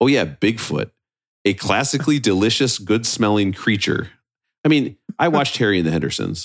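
Talking at a fairly quick pace, a man with a fairly low pitch keeps his loudness very even while his intonation stays lively. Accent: American. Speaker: podcast host. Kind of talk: casual chat. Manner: animated.

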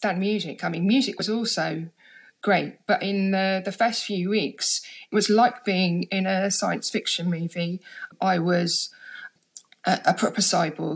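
With a London accent, a woman speaks at medium pitch and a fairly slow pace. Her voice is somewhat breathy, with fairly even intonation. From London, England (Harlesden). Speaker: deaf writer and performer. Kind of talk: casual chat. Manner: halting, repeats words.

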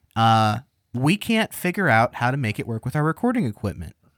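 Here a man speaks in a normal speaking voice at a medium pitch, with lively intonation. The sound is dry and close, with no echo. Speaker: producer. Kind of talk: casual chat. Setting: studio.

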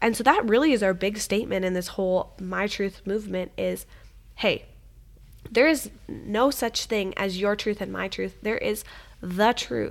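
Recorded very cleanly against a silent background, a woman speaks at a fairly slow pace with vocal fry. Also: medium pitch for a woman, ordinary pitch variation. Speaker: podcast host. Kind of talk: casual chat about faith.

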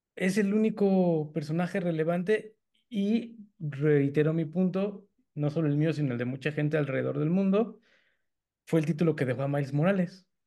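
With a Mexican accent, a man talks at a moderate pace. His tone is dark and mellow. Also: fairly high pitch for a man, ordinary pitch variation. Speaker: comic book podcast co-host. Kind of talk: casual chat.

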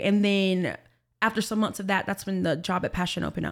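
This woman has an unremarkable speaking voice, medium in pitch, with fairly even intonation. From Alabama, US South. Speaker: podcast guest, church worker. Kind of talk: testimony.

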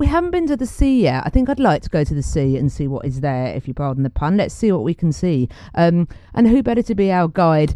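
Racing at a very fast pace, a woman with a British accent speaks at a fairly low pitch in a dark, mellow and warm tone, her pitch swinging very widely. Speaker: podcast host. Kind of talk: solo music show presenting. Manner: chatty, warm, casual.

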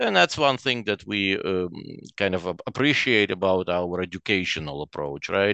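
Over a quiet background, a man with a very deep, low pitch speaks with ordinary pitch variation in a dry, close sound with no echo. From Ukraine (Chernivtsi), Soviet Union. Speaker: real estate investor. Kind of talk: interview. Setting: video call. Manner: halting.

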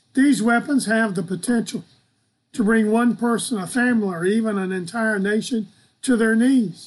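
This man has a high pitch. He talks at a moderate pace. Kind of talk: devotional teaching. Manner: animated.

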